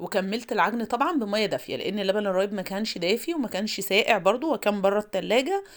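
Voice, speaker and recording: Against a silent background on a very clean recording, a woman speaks at a very fast pace. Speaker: cooking vlogger. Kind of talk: cooking tutorial. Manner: casual, chatty.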